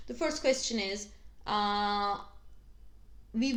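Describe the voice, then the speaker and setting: Heard with audible room echo, a woman speaks with a Turkish accent at a fairly high pitch. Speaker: astrologer. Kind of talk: video tutorial. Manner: halting, many fillers.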